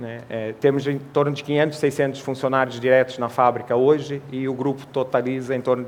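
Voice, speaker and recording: Flat and monotone, a man speaks at medium pitch and a moderate pace. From Portugal. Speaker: sales manager speaking at a trade congress. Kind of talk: conference talk.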